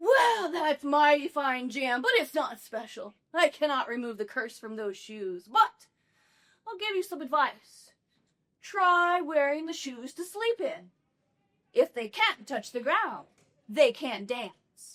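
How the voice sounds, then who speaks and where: The speaker puts on a character voice with very wide pitch swings. The pace is fairly slow. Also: woman, high pitch for a woman. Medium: stage play. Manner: gruff, greedy.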